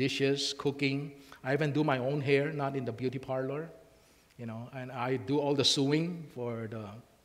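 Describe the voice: Intonation stays fairly even during this plain reading aloud.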